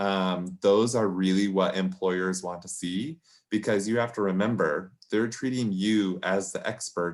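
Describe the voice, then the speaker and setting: Here a man has an ordinary speaking voice with fairly low pitch and ordinary pitch variation. The recording is very clean with a silent background. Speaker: career advisor. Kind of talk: workshop presentation. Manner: casual, many fillers.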